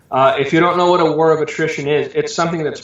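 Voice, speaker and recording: A man speaks with fairly even intonation at a fairly high pitch. The room echo is audible. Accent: American. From Southern California. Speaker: preacher. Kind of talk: interview.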